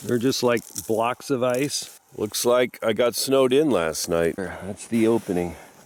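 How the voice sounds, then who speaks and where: A man's voice over noticeable background noise. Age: 50s. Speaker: wilderness adventurer. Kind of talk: audition video. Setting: outdoors. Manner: halting.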